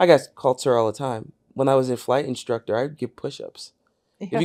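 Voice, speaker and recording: A man talks at a fairly quick pace in a medium pitch, with an ordinary speaking voice and ordinary pitch variation. The sound is dry and close, with no echo. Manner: matter-of-fact anecdote.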